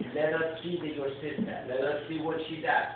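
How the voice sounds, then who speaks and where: A man speaks with a fairly high pitch. Loud background noise and audible room echo fill the recording. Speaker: comedy coach giving feedback. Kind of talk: coaching feedback to a young comedian, workshop critique. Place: stage. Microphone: pa.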